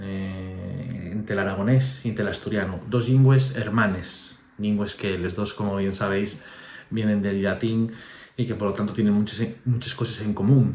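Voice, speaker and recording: A man's somewhat breathy, fairly low voice at a fairly slow pace, with ordinary pitch variation and audible room echo. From Asturias. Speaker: author. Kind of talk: book presentation. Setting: book fair. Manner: halting.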